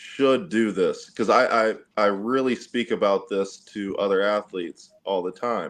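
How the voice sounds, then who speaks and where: At a moderate pace, a normal speaking voice is heard over a quiet background. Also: man. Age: young. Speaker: athlete and entrepreneur. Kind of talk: casual chat. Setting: video call.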